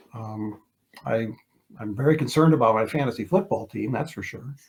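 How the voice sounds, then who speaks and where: A somewhat breathy man speaks at a fairly quick pace with lively intonation. His loudness swings a lot. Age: 60s. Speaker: retired TV sports reporter. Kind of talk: casual interview. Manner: halting, many repeated words.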